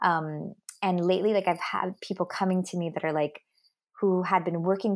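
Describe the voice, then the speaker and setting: A woman with a Miami accent speaks at a moderate pace in a fairly low voice with fairly even intonation, on a very clean recording with a silent background. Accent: Miami American English. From Miami, Florida (Cuban American family). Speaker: dating coach and author. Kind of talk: interview. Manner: hesitant, many fillers.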